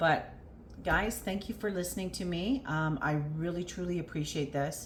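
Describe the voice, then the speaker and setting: With audible room echo around her, a woman speaks at a moderate pace in a medium pitch, sounding somewhat breathy. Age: 50s. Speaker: weight loss vlogger. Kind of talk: personal vlog. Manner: hesitant, many fillers.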